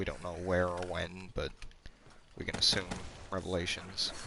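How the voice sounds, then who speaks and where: Quiet and bright with a sharp tone, a man speaks at a moderate pace in a very deep, low pitch. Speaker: gaming streamer. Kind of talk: gameplay commentary.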